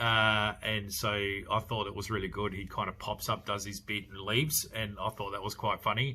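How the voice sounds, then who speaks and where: This man has an Australian accent and a fairly low pitch. His intonation is flat and monotone, and his tone is bright and sharp. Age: 40s. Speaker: podcast host, horror film reviewer. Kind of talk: casual film review. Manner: halting, many fillers and repeats.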